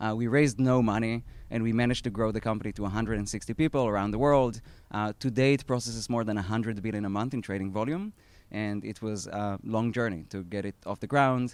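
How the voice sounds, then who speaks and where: Speaking very fast in an Israeli accent, a man with a medium pitch keeps his intonation fairly even on a very clean recording with a silent background. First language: Hebrew. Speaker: startup founder. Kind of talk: talk at an event. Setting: outdoor live event with audience. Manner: hesitant, many fillers.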